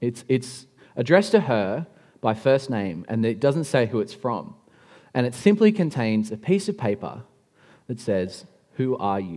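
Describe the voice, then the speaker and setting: A man with an Australian accent, medium pitch, and a dark, mellow tone, at a fairly slow pace with long, frequent pauses and very wide pitch swings, on a very clean recording with a silent background. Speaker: pastor. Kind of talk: sermon. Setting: church.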